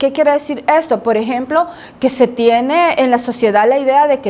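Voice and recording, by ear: The woman's voice sits high in pitch, with a slightly mellow tone.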